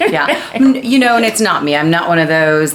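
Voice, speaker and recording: A woman's fairly low voice at a fairly quick pace with very wide pitch swings, noticeable background noise and audible room echo. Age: 50s. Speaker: fitness professional and video co-host. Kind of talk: casual chat.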